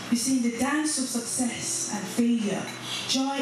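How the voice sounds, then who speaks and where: Speech at a moderate pace comes through strong room echo and noticeable background noise. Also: woman. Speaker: church conference speaker. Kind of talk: spoken word piece delivered to a church congregation. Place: church.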